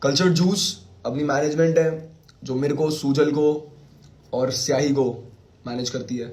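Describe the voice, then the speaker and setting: A man's somewhat breathy, fairly high voice at a very slow pace, with ordinary pitch variation. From Kashmiri Pandit family. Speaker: rapper. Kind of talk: casual livestream chat. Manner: casual.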